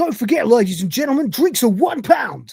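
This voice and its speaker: The speaker puts on a raspy character voice with a fairly high pitch and talks at a fairly quick pace. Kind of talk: pub DJ patter.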